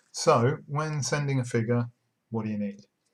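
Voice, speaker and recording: A somewhat breathy man's voice at a medium pitch and a fairly slow pace. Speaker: online miniatures business owner. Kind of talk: casual talk to camera. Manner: monotone.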